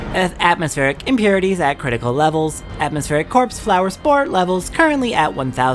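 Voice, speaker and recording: A woman puts on a robotic character voice at a fairly low pitch, talking at a very fast pace over clear music in the background. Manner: flat, mechanical.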